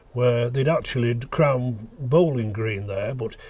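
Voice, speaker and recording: At a fairly slow pace, a man talks in a somewhat breathy voice of medium pitch. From Staffordshire, England. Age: 80s+. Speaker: local historian recalling memories. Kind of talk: reminiscence narration. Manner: halting with frequent fillers.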